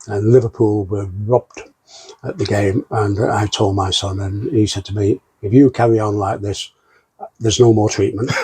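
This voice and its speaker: A man talks at a moderate pace with long, frequent pauses and fairly even intonation. His voice is fairly low, somewhat breathy and dark and mellow in tone. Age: 70s. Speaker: patient. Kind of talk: testimony. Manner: halting.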